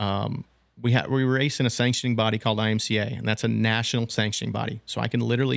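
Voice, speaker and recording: A man with an American accent talks at a very fast pace in a monotone, flat intonation. The recording is very clean, with a silent background and a dry, close sound with no echo. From Nebraska, US Midwest. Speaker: machine shop owner and racer. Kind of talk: casual interview.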